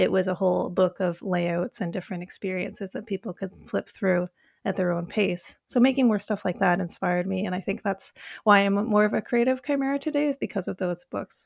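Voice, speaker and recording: A woman with a Canadian accent has a plain, everyday voice at medium pitch with ordinary pitch variation, in a dry, close sound with no echo on a very clean recording with a silent background. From Vancouver, Canada. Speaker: university guidance counselor and artist. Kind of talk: casual chat.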